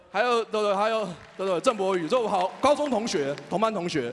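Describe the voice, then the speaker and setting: A man with a strong Taiwanese accent, high pitch, lively intonation and a fairly quick pace. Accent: strong Taiwanese and Hokkien-tinged Mandarin. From Taiwan, Taipei. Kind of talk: speech. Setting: stage with audience. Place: hall. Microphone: handheld.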